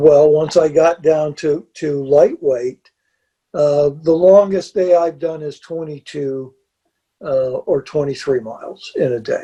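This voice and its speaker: Over a quiet background, a man speaks at a very slow pace, somewhat breathy, with a fairly high pitch, a dark, mellow tone and fairly even intonation. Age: 70s. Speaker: backpacker; interview guest. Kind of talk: casual interview chat. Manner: halting, repeats words. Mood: calm, matter-of-fact. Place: home room.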